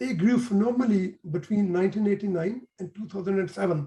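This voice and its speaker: A man with a Pakistani accent talks at a fairly quick pace in a high pitch, with a dark, mellow tone and ordinary pitch variation. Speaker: engineer and trader. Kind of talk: interview. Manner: halting.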